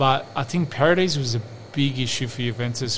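A man with an Australian accent talks at a moderate pace. His pitch variation is ordinary, and there is noticeable background noise. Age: 40s. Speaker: football podcast co-host. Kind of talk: casual chat.

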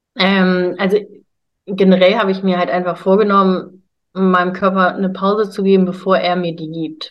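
This woman's medium-pitched voice moves along at a moderate pace. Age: 20s. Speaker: bodybuilder and health coach. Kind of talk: casual interview.

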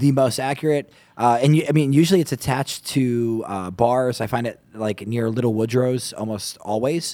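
With an American accent, a man speaks at medium pitch and a moderate pace in a normal speaking voice, with ordinary pitch variation and hardly any pauses. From New York area. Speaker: podcast co-host. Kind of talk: casual chat.

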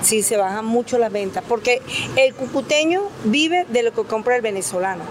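Noticeable background noise sits under the recording. A woman with a fairly high pitch talks at a fairly quick pace. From Cúcuta, Colombia, long years in Valencia, Venezuela. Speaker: street vendor. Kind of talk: interview.

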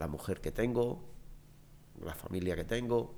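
His voice is dark and mellow, with vocal fry and lively intonation. Audible room echo surrounds this man. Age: 60s. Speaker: interview guest. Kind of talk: casual chat.

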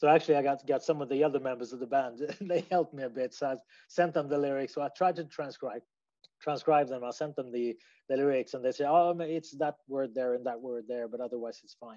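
With a Swedish accent, a man speaks fairly quickly at a fairly high pitch. His tone is dark and mellow, and his intonation fairly even. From Sweden. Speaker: musician. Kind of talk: interview answers. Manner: halting, hesitant.

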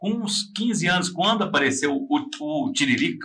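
A man's fairly slow speech with lively intonation, with audible room echo. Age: 40s. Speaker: podcast host. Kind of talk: casual chat. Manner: animated.

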